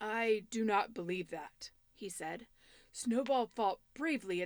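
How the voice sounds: This is a natural reading voice. The text is read as written.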